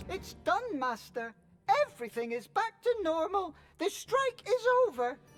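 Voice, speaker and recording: A put-on character voice, squeaky and extremely high, with very wide pitch swings, a moderate pace, and music in the background. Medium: video game. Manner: polite, deferential.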